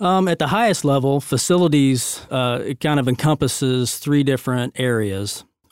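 In an unremarkable speaking voice, a man talks at a moderate pace and fairly high pitch, with ordinary pitch variation and hardly any pauses. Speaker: facilities director at church. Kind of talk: casual interview.

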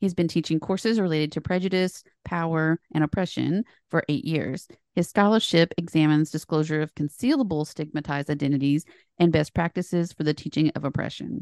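In an American accent, a woman with an ordinary speaking voice talks at a fairly low pitch and a fairly quick pace with ordinary pitch variation, in a dry, close sound with no echo and a quiet background. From Appalachia, US. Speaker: podcast host, professor. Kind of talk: interview, podcast conversation.

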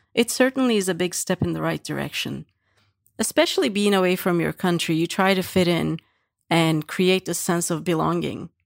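In a Turkish accent, a woman is heard in a very clean recording with a silent background and a dry, close sound with no echo. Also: moderate pace. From Turkey. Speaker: employee sharing heritage reflections. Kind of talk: prepared personal statement.

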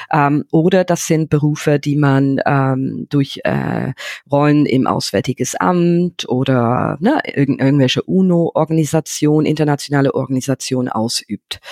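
A woman's very deep, low voice in an English accent, fairly slow with hardly any pauses, ordinary pitch variation, very even loudness, and a dry, close sound with no echo. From England, London. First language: English (speaking German). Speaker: entrepreneur. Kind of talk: interview. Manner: halting.

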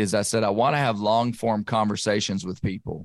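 Speaking at a fairly quick pace, a man talks with an Arkansas accent. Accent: Southern US (Arkansas). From western Arkansas. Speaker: podcast host and bear hunter. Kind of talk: casual interview conversation. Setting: remote recording.

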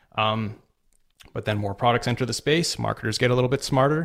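Pitched at a medium level, a man's voice rises and falls with ordinary variation. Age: 30s. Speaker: copywriter and marketing consultant. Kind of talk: casual interview. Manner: hesitant, many fillers.

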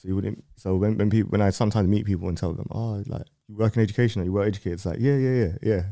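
A man talks at a very fast pace. His tone is dark and mellow, with fairly even intonation. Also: fairly low pitch for a man. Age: 30s. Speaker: music platform owner. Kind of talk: casual interview. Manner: articulate, educated-sounding.

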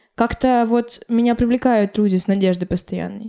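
Her tone is dark and mellow, her pitch fairly high for a woman, and her intonation fairly even. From Karelia, Russia. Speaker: blogger and DJ. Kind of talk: casual chat. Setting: at host's home.

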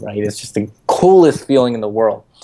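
This is an unremarkable speaking voice, a man's at medium pitch, moving at a fairly quick pace. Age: 20s. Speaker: startup founder. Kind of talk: interview. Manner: filler-heavy, many ums.

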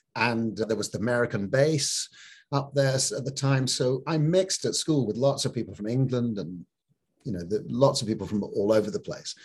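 At a moderate pace, a man talks at a medium pitch with a slightly mellow tone, a slightly husky edge and ordinary pitch variation.

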